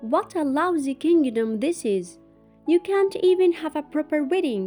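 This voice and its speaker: Faint music plays behind a gruff, high-pitched put-on character voice that moves at a moderate pace. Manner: shouting, complaining.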